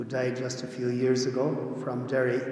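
Audible room echo around a man talking. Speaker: priest. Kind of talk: homily and prayers at Mass. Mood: solemn, gentle. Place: church. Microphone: podium.

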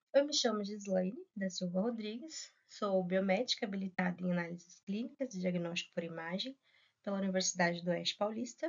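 Over a quiet background, a woman talks at a fairly quick pace in a somewhat breathy voice with ordinary pitch variation. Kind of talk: lecture. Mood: friendly, polite. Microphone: webcam.

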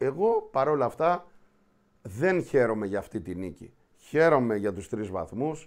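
In a quiet setting, a man speaks at a fairly slow pace. His pitch swings very widely. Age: 50s. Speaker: show host. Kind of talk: casual football talk show. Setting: studio. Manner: animated. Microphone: webcam.

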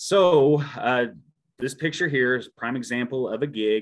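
A man's intonation rises and falls in a lively way, with little sound behind him. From Missouri Ozarks, Shannon County; Missouri. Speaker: park ranger; presenter. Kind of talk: presentation. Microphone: video call.

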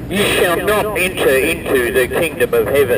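A man speaks at a moderate pace, and noticeable background noise can be heard. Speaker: street preacher. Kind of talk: scripture reading aloud. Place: street. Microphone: camera far.

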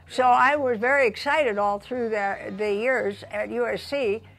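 A woman speaks with faint music playing in the background. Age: 80s+. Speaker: flight instructor and WWII ferry pilot. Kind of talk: documentary interview answer. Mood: reflective, warm recollection. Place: home room.

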